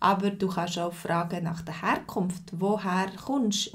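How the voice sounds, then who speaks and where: Very slow, somewhat breathy speech from a woman, with fairly even intonation and a quiet background. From Switzerland. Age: 40s. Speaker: language teacher. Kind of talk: live lesson. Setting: livestream.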